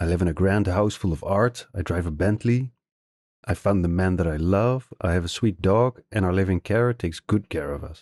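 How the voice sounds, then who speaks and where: With a Dutch accent, a man speaks at a moderate pace in a very deep, low pitch with ordinary pitch variation. The sound is dry and close with no echo, over a quiet background. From Netherlands. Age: 60s. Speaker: novelist. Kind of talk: interview.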